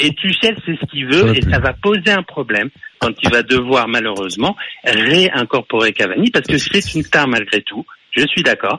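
Over noticeable background noise, a man speaks at a moderate pace in a fairly high voice with very wide pitch swings, the sound dry and close with no echo. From Paris. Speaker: radio caller. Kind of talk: phone-in sports debate.

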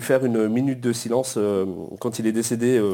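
A man speaks with a dark, mellow tone. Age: 30s. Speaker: football club supporters' group president. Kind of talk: casual chat.

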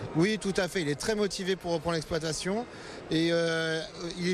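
This man's high pitch shows ordinary pitch variation, with noticeable background noise behind him. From Val d'Oise, France. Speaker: grain farmer. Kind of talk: interview. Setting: agricultural trade fair.

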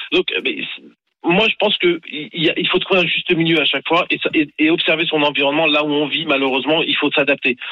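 An unremarkable speaking voice with very even loudness and fairly even intonation. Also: man, fairly high pitch for a man, fairly quick pace. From Paris region, Ivry. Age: 40s. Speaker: radio caller, father. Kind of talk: call-in debate.

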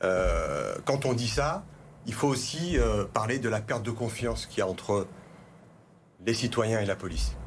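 Speaking at a fairly slow pace, a man with a medium pitch shows vocal fry. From France, Vaulx-en-Velin near Lyon. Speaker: teacher and parliamentary candidate. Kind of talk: televised political debate. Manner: halting, repeats words.

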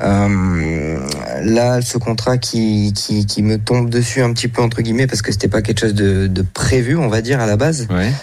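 A man's voice at a very even loudness, with audible room echo. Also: medium pitch for a man, ordinary pitch variation, moderate pace. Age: 20s. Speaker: amateur poker player. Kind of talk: interview. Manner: halting.

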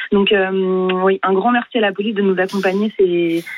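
A woman speaks in a monotone, flat intonation at a fairly slow pace amid noticeable background noise. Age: young. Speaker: kayaker. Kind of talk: radio interview.

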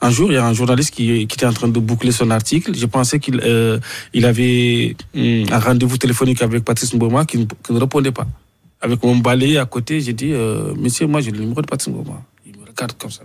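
It is an ordinary speaking voice with fairly even intonation. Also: man, medium pitch for a man, fairly quick pace. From Mauritania. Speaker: sports journalist. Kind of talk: radio interview. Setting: radio studio in Abidjan.

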